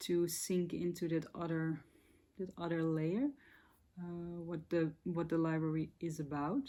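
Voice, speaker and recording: In a Dutch accent, a woman speaks at a fairly slow pace with a fairly low pitch and a dark, mellow tone. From Netherlands. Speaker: spiritual content creator. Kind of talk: casual monologue to camera. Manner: hesitant, searching for words.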